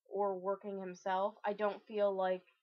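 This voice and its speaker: A woman speaks at a medium pitch. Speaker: video blogger. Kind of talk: casual vlog. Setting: at home alone. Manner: loud.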